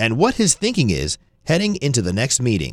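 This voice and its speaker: Talking at a fairly quick pace, a man speaks with vocal fry. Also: dry, close sound with no echo, very clean recording, silent background. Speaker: radio host. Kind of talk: scripted narration. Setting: studio.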